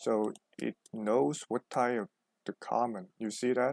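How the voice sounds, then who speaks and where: A man with a Chinese accent speaks at a medium pitch with ordinary pitch variation and a very slow pace. The sound is dry and close, with no echo. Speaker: programming tutor. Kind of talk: tutorial. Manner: halting, many fillers.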